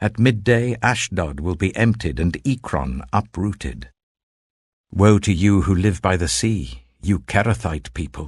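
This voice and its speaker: A man speaks fairly slowly in a very deep, low voice with vocal fry. His pitch swings very widely. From British. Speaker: actor. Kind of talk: Bible reading. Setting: studio.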